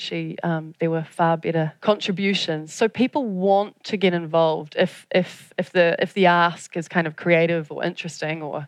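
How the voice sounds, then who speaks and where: A woman with a New Zealand accent talks at a moderate pace in a fairly low pitch with fairly even intonation against a quiet background. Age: 40s. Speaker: audience engagement specialist. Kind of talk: conference talk. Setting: stage with audience.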